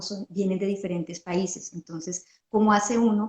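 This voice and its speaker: Somewhat breathy and at medium pitch, a woman speaks at a moderate pace with monotone, flat intonation. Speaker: podcast host. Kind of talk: interview.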